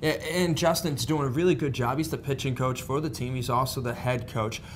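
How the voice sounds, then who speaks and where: Somewhat breathy speech comes through with audible room echo. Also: man, medium pitch for a man, ordinary pitch variation, fairly quick pace. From northern US. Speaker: sports show host. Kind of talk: sports interview.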